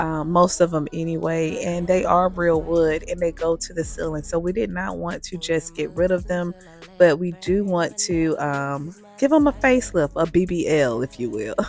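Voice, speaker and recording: Music plays in the background as a woman speaks at a moderate pace. Her fairly low voice has ordinary pitch variation. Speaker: DIY home renovation vlogger. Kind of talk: casual talk to camera.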